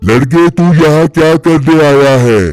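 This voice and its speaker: A man puts on a cartoonish character voice pitched fairly high. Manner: gruff, commanding.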